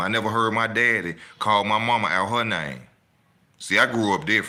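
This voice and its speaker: There is audible echo from the room. The tone is bright and sharp. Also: man. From Alabama, Birmingham. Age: 40s. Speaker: boxing commentator, online channel host. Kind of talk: casual monologue, ranting. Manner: animated.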